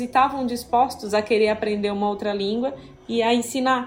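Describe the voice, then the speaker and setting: A woman talks at a moderate pace with fairly even intonation while noticeable noise fills the background. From southern Brazil. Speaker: software developer. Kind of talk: casual interview.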